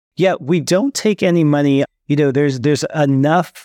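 With a Californian accent, a man speaks with ordinary pitch variation over a quiet background. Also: dry, close sound with no echo. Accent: General American (California). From San Francisco Bay Area, California. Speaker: startup founder and CEO. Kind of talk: interview.

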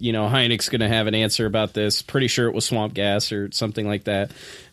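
A man with a normal speaking voice, fairly low in pitch, with fairly even intonation. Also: very clean recording, silent background. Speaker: podcast host. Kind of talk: casual chat. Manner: laughs often.

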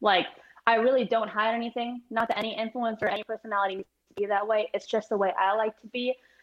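A woman with a normal speaking voice and an American accent talks at a fairly quick pace. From Chicago, US Midwest. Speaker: golfer and social media personality. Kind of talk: interview.

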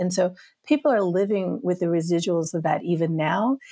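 A woman's normal speaking voice, fairly low-pitched with ordinary pitch variation, at a moderate pace with a dry, close sound with no echo. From US South. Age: 50s. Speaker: podcast guest, filmmaker. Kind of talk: casual conversation.

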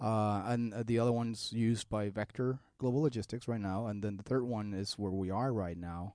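With a dark, mellow tone and fairly low pitch, a man talks at a fairly quick pace and fairly even intonation against a quiet background. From Mexico City. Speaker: business executive. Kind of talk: casual interview conversation. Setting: studio.

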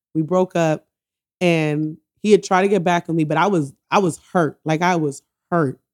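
A woman talks with a New York accent at a fairly low pitch. The sound is dry and close with no echo, and her intonation stays fairly even. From New York, Bronx. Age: 30s. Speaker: podcast host. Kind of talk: casual chat.

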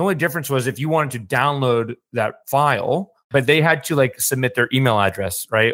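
Here a man talks in an unremarkable speaking voice at a fairly quick pace, with ordinary pitch variation. The recording is very clean, the background silent. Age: 30s. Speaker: entrepreneur. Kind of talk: casual chat.

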